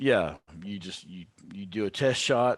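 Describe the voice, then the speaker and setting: A man speaks with a Texan accent and ordinary pitch variation against a quiet background. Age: 30s. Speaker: country musician. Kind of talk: casual chat.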